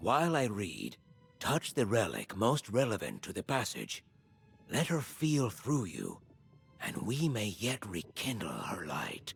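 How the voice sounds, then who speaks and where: A man puts on a character voice at a medium pitch, in a solemn tone and at a fairly slow pace. Faint music plays in the background. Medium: video game. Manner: measured, solemn.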